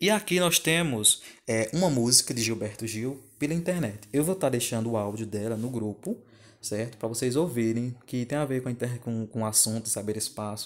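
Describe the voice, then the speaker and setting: A man with an ordinary speaking voice talks at a moderate pace in a medium pitch with ordinary pitch variation. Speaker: geography teacher. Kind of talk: recorded video lesson over slides. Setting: screen recording at home.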